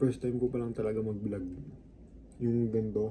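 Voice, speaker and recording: A man's dark, mellow tone comes through somewhat breathy, with fairly even intonation. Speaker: fitness vlogger. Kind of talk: casual vlog.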